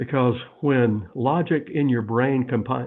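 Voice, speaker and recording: A man's voice at medium pitch. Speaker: author. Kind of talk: interview. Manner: fast, runs words together.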